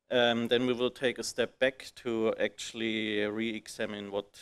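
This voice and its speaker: A man speaks in an unremarkable speaking voice at a fairly slow pace. His pitch is fairly low and his intonation fairly even. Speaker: conference presenter. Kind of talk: technical conference talk. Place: hall.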